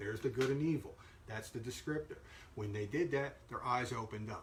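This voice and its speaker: A man's medium-pitched voice with ordinary pitch variation against noticeable background noise. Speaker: Bible teacher. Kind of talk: Bible lesson; casual sign-off. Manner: halting, many fillers.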